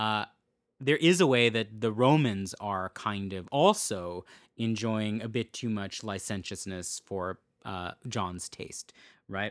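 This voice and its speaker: Very slowly, a man with a fairly low pitch and ordinary pitch variation speaks in a dry, close sound with no echo on a very clean recording with a silent background. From Portuguese heritage. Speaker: podcast host, culture critic. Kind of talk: solo podcast lecture on scripture. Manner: hesitant, many fillers.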